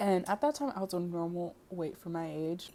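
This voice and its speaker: A woman talks at a moderate pace. Her tone is dark and mellow. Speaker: video blogger. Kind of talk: casual personal story. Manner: stuttering, unscripted; filler-heavy, casual.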